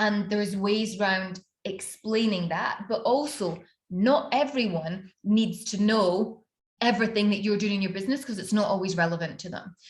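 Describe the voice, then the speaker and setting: A woman with a Scottish accent speaks at a medium pitch, her voice somewhat breathy and her pitch varying in an ordinary way. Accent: Scottish, slowed after years abroad. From Scotland. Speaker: business mentor and personal branding coach. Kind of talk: online workshop / master class. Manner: conversational, many fillers.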